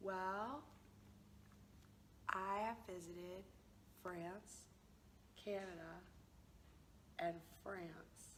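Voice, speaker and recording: In a room with audible echo, a woman with an American accent speaks at medium pitch and a very slow pace, her intonation fairly even, with long, frequent pauses. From US South, Georgia (rural). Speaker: language teacher, founder of a teaching project. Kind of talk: interview. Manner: casual.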